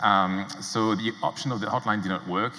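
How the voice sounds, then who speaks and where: A man with a French accent speaks over noticeable background noise. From France. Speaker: entrepreneur. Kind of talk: conference talk. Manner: hesitant with many fillers.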